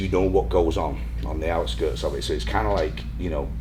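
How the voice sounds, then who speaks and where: Very rapid speech from a man amid noticeable background noise and audible room echo. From northern England, Blackpool. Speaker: fitness professional. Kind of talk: casual chat.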